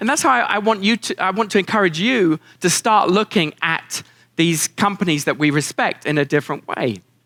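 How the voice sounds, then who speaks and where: A man with a high pitch and a bright, sharp tone speaks fairly quickly with lively intonation, dry and close with no echo. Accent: British. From England. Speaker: keynote speaker. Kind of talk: keynote speech to live audience. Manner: warm, down-to-earth, dry humor.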